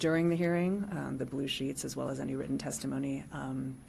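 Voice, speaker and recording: A woman speaks at a fairly quick pace. Room echo can be heard. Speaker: county planner. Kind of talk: staff report to public board. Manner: soft-spoken.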